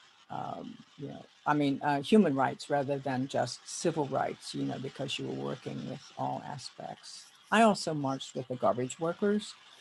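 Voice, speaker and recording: Noticeable background noise runs under a woman's voice. She speaks at a moderate pace with big swings in loudness. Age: 80s+. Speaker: civil rights activist. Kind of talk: interview answer.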